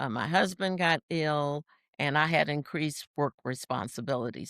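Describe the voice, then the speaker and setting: A woman with an American accent speaks at a very deep, low pitch with vocal fry. Her moderate pace comes through in a dry, close sound with no echo. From US, Washington DC. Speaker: senior track athlete. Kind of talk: interview.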